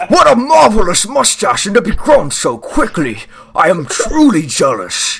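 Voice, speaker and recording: A man puts on a character voice with a pompous tone, speaking at a moderate pace in a high pitch. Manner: pompous, envious.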